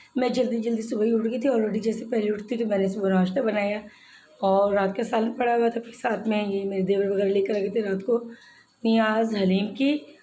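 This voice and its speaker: With audible room echo behind her, a woman speaks at a moderate pace in a fairly high pitch and a monotone, flat intonation. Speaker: vlogger. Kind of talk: daily vlog narration.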